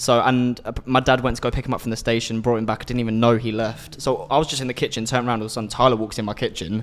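This is a man speaking. His pitch sits at a medium level. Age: 20s. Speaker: podcast co-host. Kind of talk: casual chat. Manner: animated.

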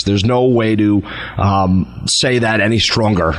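A man with an American accent and ordinary pitch variation, against noticeable background noise. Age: 20s. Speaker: state legislator. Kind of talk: talk radio interview.

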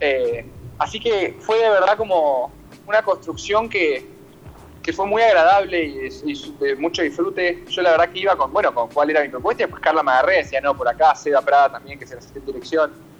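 Over music in the background, a man with a high voice talks at a fairly quick pace with lively intonation. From Buenos Aires, Argentina. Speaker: stage actor. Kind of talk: interview. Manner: halting.

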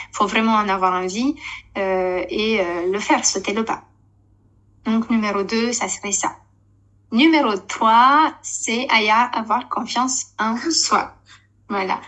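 Pausing long and often, a woman with a fairly high pitch speaks at a very slow pace. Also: ordinary pitch variation. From Romania. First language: Romanian (speaking French). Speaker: network marketing leader, former TV presenter. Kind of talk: casual interview chat.

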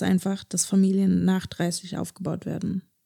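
A woman talks at a moderate pace in a medium pitch, her tone dark and mellow and somewhat breathy. The intonation is monotone and flat, and the sound is dry and close with no echo. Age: 20s. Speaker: podcast co-host. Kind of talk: casual chat.

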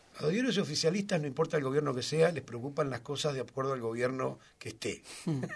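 Talking at a very fast pace, a man speaks in a Rioplatense accent with a fairly high pitch. His voice is somewhat breathy, with ordinary pitch variation. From Argentina, Buenos Aires south suburbs. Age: 60s. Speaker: social movement leader. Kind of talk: interview. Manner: halting.

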